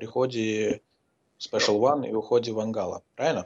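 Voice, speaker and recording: A man talks at a moderate pace. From Azerbaijan. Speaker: podcast host.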